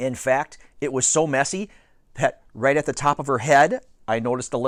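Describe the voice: Someone does plain reading aloud here.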